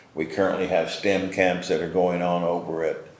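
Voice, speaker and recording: Delivered at a moderate pace, the voice carries an audible room echo. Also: man. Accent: American. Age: 70s. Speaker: community foundation leader. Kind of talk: interview. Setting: on location at a local business.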